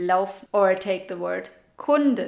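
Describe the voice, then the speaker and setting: In a German accent, a woman speaks at a very slow pace. Her pitch sits in the medium range. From Germany. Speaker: language teacher / video creator. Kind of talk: tutorial. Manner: casual.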